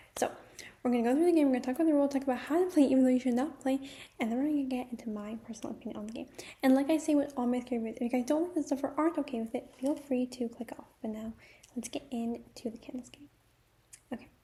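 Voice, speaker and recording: Soft-spoken yet with big swings in loudness, a woman talks very fast in a high pitch with fairly even intonation. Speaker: YouTuber. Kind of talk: casual vlog talk with reading aloud of rules. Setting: at home, others sleeping. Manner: quiet, speaking softly.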